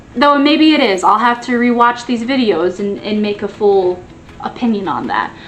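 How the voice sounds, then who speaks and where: Over noticeable background noise, a woman talks at a moderate pace, her fairly high pitch showing ordinary variation. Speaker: former teacher, video creator. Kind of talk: casual chat. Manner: casual, filler-heavy.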